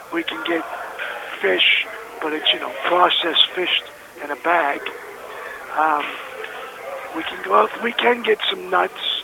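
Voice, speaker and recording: Against noticeable background noise, a man speaks fairly slowly with long, frequent pauses. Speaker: federal prison inmate. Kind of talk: phone testimony and exhortation. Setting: prison phone call.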